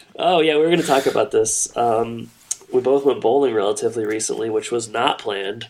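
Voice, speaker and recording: Over noticeable background noise, a man speaks fairly quickly at a medium pitch with ordinary pitch variation. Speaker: podcast co-host. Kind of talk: casual chat.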